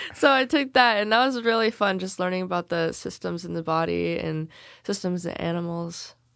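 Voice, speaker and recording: A woman with an unremarkable speaking voice and an American accent, medium pitch, ordinary pitch variation, and a moderate pace, on a very clean recording with a silent background. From Salem, Oregon, US Pacific Northwest. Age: young. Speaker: recent high school graduate. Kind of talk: casual interview.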